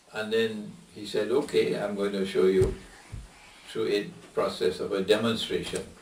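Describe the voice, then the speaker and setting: Moderate-paced male speech amid audible room echo and noticeable background noise. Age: 70s. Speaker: islamic scholar. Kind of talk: q&a lecture.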